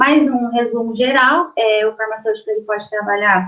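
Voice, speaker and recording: A woman is talking here. Her speed is moderate. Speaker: pharmacist giving a career talk. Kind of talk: online career lecture. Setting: online video presentation. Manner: hesitant, many filler sounds.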